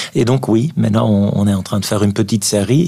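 Noticeable background noise sits behind a man speaking at a fairly low pitch with ordinary pitch variation. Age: 50s. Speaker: neurologist and author. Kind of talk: radio interview. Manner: halting with frequent repetitions.

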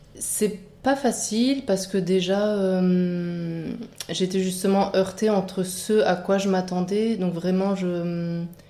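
A woman with a medium pitch talks at a very slow pace, with audible room echo around her. Her loudness stays very even, and her intonation is fairly even. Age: 30s. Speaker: midwifery student. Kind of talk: interview testimony.

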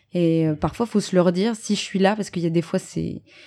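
Her pitch fairly low, a woman speaks in a dark, mellow tone with monotone, flat intonation. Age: 30s. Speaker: stage actress. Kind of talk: interview.

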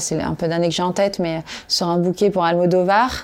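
Here is a woman with an unremarkable speaking voice and a fairly low pitch. She keeps a moderate pace and fairly even intonation. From Corrèze, France. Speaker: entrepreneur. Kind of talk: interview.

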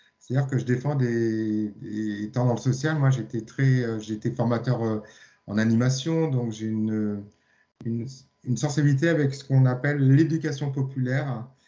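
Fairly even intonation from a man with a plain, everyday voice, medium pitch and moderate pace. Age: 50s. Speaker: sound therapist and hypnotherapist. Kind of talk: casual chat.

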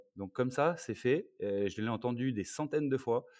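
A plain, everyday voice with ordinary pitch variation, dry and close with no echo, on a very clean recording with a silent background. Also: man. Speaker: former American football player and sports consultant. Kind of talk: casual chat.

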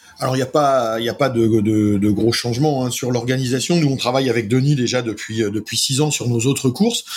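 A man at medium pitch, fairly quick and with hardly any pauses, fairly even in intonation, over noticeable background noise. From Brittany, northern Finistère (Carantec). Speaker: sailing race organiser. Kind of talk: casual interview.

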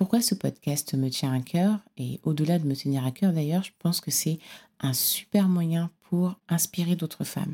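The voice is somewhat breathy, with a dark, mellow tone and a fairly slow pace. Its pitch varies in an ordinary way, and the sound is dry and close with no echo. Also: woman, fairly low pitch for a woman. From Cameroon. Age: 30s. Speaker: podcast host. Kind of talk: solo podcast monologue.

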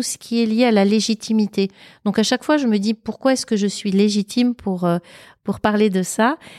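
A normal speaking voice from a woman, fairly high-pitched, at a moderate pace, with a dry, close sound and no echo. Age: 50s. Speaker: public speaker and former recruiter. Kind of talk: casual interview. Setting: at her home.

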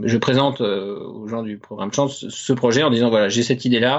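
Talking at a fairly quick pace, a man keeps a medium pitch. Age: 30s. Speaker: web developer and musician-composer. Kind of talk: interview. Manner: halting, with many hesitations.

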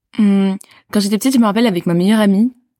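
Dry and close with no echo, a woman's medium-pitched voice moves at a very fast pace. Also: very clean recording, silent background. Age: 20s. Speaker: public speaker and student. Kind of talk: casual interview chat.

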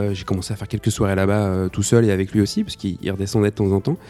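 This is a man speaking. His pitch sits fairly low. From Nantes, western France. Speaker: DJ and collective co-founder. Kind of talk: casual interview chat. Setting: at his home. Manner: hesitant, many repetitions.

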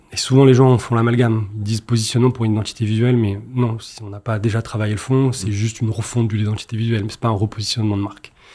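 Somewhat breathy and dark, mellow in tone, a man rushes along at a very fast pace with hardly any pauses and a flat, monotone delivery. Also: medium pitch for a man, big swings in loudness. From Marseille, southern France. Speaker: entrepreneur, agency founder. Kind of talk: interview.

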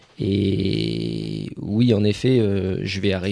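The man's pitch is fairly low and varies in an ordinary way. The recording is very clean, and the background is silent. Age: 30s. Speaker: former firefighter turned property investor. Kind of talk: casual interview. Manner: hesitant, many fillers.

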